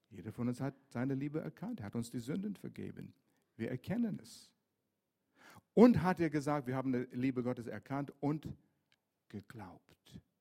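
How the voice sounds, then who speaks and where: A man's medium-pitched, dark and mellow voice at a moderate pace, with long, frequent pauses, big swings in loudness and lively intonation. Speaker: pastor. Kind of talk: sermon. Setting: church.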